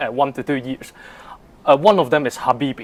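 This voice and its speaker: A man is speaking. He has a Cantonese accent. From Hong Kong. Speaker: polyglot language learner. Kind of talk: interview. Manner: halting, with fillers.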